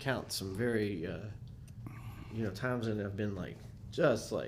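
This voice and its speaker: A man's somewhat breathy voice moves at a moderate pace, with audible room echo around it. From US South, Nashville. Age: 40s. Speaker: musician. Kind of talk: casual chat.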